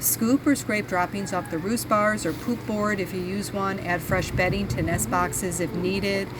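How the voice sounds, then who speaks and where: With hardly any pauses, a woman speaks at a moderate pace and medium pitch with ordinary pitch variation, amid noticeable background noise and audible room echo. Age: 60s. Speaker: chicken farmer and video host. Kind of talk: tutorial.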